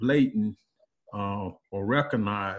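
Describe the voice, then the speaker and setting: At a fairly slow pace, this man delivers his words. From US South, North Carolina (New Bern). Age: 60s. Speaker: community group participant. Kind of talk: personal testimony in group video call. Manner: halting, many fillers and repetitions.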